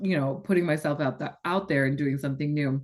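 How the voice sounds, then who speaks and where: A woman's very deep, low voice with an American accent and fairly even intonation against a quiet background. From Northern California, US. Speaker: astrology and human design coach. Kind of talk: podcast interview.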